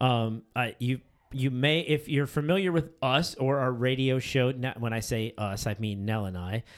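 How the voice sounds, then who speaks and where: In an ordinary speaking voice, a man talks at a moderate pace with an American accent and ordinary pitch variation, on a very clean recording with a silent background. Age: 40s. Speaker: podcast host. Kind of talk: casual chat.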